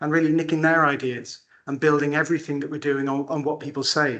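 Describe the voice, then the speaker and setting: A man with a Welsh accent talks at a very fast pace in a fairly high voice. His intonation is monotone and flat against a quiet background. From Wales, Pembrokeshire. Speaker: care farm owner. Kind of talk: conference talk. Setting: conference hall with microphone.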